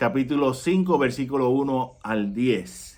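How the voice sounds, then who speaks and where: Lively intonation carries speech that unfolds very slowly. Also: man. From Puerto Rico. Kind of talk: religious reflection.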